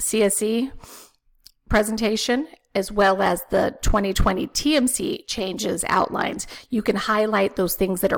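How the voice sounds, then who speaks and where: A woman with a plain, everyday voice speaks at medium pitch with ordinary pitch variation. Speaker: respiratory therapy educator. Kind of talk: webinar presentation.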